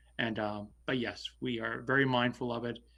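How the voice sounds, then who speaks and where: The recording is very clean with a silent background. A man speaks in a monotone with flat intonation. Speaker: select board member, local election candidate. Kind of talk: candidates forum answer. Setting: virtual forum. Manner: loud; halting.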